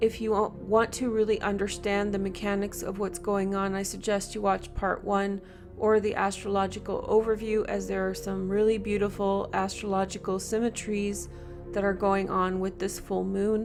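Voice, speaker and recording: Over noticeable background noise, a woman speaks in a monotone, flat intonation. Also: medium pitch for a woman. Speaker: tarot reader and astrologer. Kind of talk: tarot reading to camera. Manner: slow.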